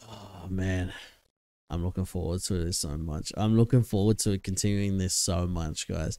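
Very deep and low, a man's dark, mellow voice with an Australian accent and fairly even intonation comes through a very clean recording with a silent background. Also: moderate pace. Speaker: reaction video creator. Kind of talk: casual reaction commentary. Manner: casual, chatty.

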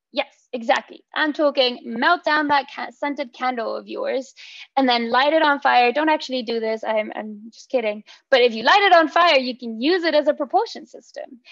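Her pitch is high for a woman, with ordinary variation and a moderate pace. Loudness swings widely against a quiet background. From Mexico. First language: Spanish. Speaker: PhD researcher; presenter. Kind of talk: seminar talk. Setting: video call. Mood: playful, friendly. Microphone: video call.

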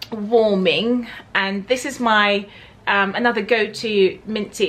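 A woman talks with a Southern English accent. Her tone is upbeat and her pitch fairly high. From Berkshire, England. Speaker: lifestyle vlogger. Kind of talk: casual talk to camera. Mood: warm, cheerful, giggly. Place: home room.

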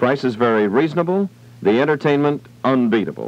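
A man with an American accent speaks at a moderate pace with lively intonation. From United States, California. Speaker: radio announcer. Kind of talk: radio commercial read. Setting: vintage 1960s radio broadcast recorded from old tape. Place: studio. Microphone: old recording.

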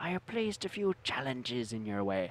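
A man puts on a character voice, keeping a medium pitch and a moderate pace. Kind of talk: in-character narration for a tabletop game. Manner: theatrical, gravelly storytelling.

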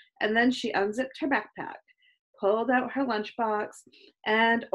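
The plain reading aloud has fairly even intonation against a quiet background.

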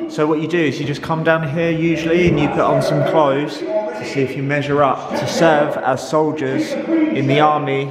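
Over loud background noise, a man keeps to a moderate pace. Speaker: vlogger touring a museum. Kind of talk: casual vlog commentary. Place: hall. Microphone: phone near.

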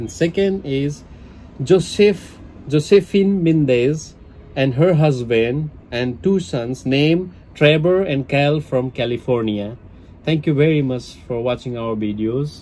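Moving at a fairly slow pace, a man speaks with a dark, mellow tone. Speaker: food vlogger. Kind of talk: casual vlog chat. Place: home room. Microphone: phone near.

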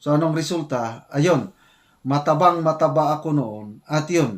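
At a fairly slow pace, a man talks in an ordinary speaking voice with fairly high pitch. The recording is very clean, with a silent background. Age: 60s. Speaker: retired military officer and vlogger. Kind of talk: casual vlog commentary.

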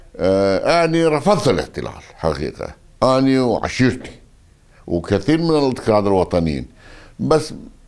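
Against a quiet background, a man talks at a fairly slow pace, his pitch swinging very widely while his loudness stays very even. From northern Iraq, Aqrah district near Mosul (Kurdish); northern Iraq. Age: 60s. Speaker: former politician and army officer; former politician. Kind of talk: interview. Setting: at his home. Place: home room.

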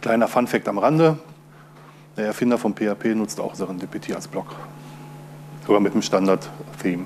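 A man speaks at a moderate pace with long, frequent pauses. His fairly low voice has lively intonation over light background noise. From Ruhr area, Germany. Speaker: open source software user and conference speaker. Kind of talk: conference talk. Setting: stage with audience. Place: hall.

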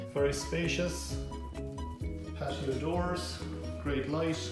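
A man at a fairly slow pace, with clear music in the background and audible room echo. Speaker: auctioneer. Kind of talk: property tour narration. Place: home room. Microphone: phone near.

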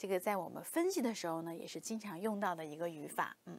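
A woman is talking. Lively intonation marks her speech. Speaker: Korean language teacher. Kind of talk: lecture. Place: studio. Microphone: lapel.

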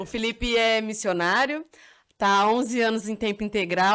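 A woman at a fairly quick pace, with ordinary pitch variation and a quiet background. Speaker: missionary and podcast host. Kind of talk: podcast interview. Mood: warm, welcoming, smiling. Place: studio. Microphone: studio mic.

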